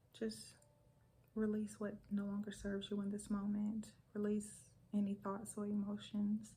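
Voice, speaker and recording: A woman speaks in a dark, mellow tone that is somewhat breathy. Her intonation is monotone and flat. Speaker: ASMR wellness and energy healer. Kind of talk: ASMR guided relaxation and affirmations. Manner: soft, calming.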